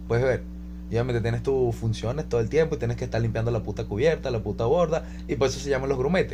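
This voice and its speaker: A man talks very fast in a fairly low voice, his pitch swinging very widely. Noticeable background noise and audible room echo surround him. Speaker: podcast co-host. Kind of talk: casual chat. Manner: stumbling speech.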